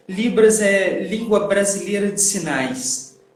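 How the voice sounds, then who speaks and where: The recording carries audible room echo. Noticeable background noise is also present. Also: man. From Minas Gerais, Belo Horizonte region, Brazil. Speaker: sign language interpreter. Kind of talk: casual interview. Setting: online live stream.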